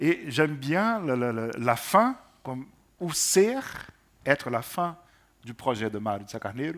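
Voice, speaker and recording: A man speaks with a fairly high pitch and very wide pitch swings. He goes at a fairly slow pace with long, frequent pauses. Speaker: translation panelist. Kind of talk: panel discussion on poetry translation. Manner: hesitant, repeats words.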